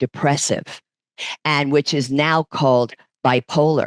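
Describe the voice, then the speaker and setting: Her pitch very deep and low, a woman with a New York accent speaks at a fairly slow pace in a dry, close sound with no echo. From New York, Brooklyn. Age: 60s. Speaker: fitness instructor and massage therapist. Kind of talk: podcast interview.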